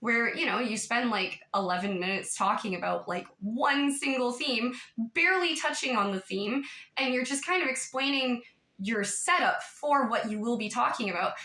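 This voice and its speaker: Her voice sits high in pitch for a woman, with lively intonation. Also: moderate pace. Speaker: YouTube commentator. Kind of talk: casual vlog monologue. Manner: animated.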